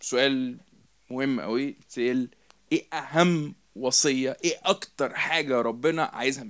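A man talks fairly slowly in a normal speaking voice, at a medium pitch with ordinary pitch variation. His loudness swings widely. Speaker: preacher. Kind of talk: sermon.

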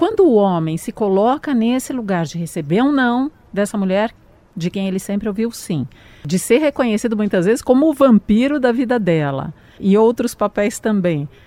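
Pitch leaps very widely while the delivery keeps a medium speed. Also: woman, fairly high pitch for a woman. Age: 50s. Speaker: radio host. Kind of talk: casual chat.

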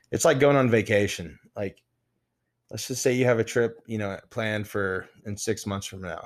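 This is an ordinary speaking voice with an American accent. Loudness swings widely on a very clean recording with a silent background. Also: man, fairly low pitch for a man, ordinary pitch variation, moderate pace. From Texas (Midland). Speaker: former bodybuilder. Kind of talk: casual interview chat.

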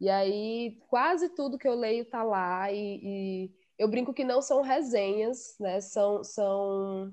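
A woman at a fairly high pitch and a very slow pace, with ordinary pitch variation, hardly any pauses and a quiet background. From Ceará backcountry, Quixadá. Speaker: podcast guest, literature lover. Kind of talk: casual chat.

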